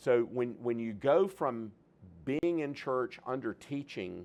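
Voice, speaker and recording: A man with medium pitch, ordinary pitch variation and a normal speaking voice. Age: 60s. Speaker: seminary president. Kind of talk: public talk.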